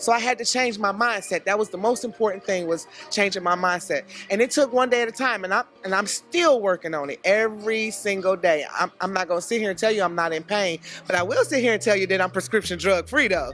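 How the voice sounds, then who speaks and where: Over background music, a woman talks at a very fast pace in an animated tone with ordinary pitch variation. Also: medium pitch for a woman. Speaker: line dance choreographer. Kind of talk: interview. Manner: loud.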